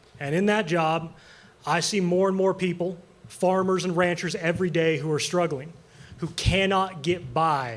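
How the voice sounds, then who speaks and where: Audible room echo surrounds a man speaking with an American accent. His pitch is high and his pace fairly quick. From eastern Montana. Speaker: congressional candidate, farrier. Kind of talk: political debate. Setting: stage with audience.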